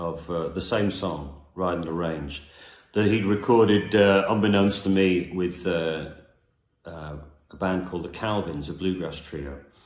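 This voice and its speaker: Audible room echo around a man's very deep, low voice, its pitch varying in an ordinary way. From northern England, Merseyside (Southport near Liverpool). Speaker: singer-songwriter. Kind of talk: casual storytelling introduction to a song. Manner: hesitant, many fillers.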